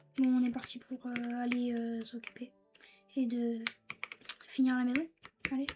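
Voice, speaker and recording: A woman's high-pitched, monotone voice with flat intonation and long, frequent pauses, over music in the background. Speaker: gaming YouTuber. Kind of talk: gameplay commentary. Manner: halting.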